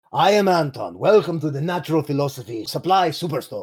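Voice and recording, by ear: A gruff, put-on character voice in a Russian accent at a fairly quick pace. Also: man, fairly high pitch for a man.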